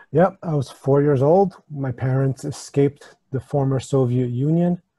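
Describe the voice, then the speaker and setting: Speaking at a fairly slow pace, a man with a fairly high pitch has a dark, mellow, somewhat breathy tone and fairly even intonation, recorded with a dry, close sound and no echo. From US, New York area, born in Ukraine. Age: 30s. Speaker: supplement company owner. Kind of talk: podcast interview.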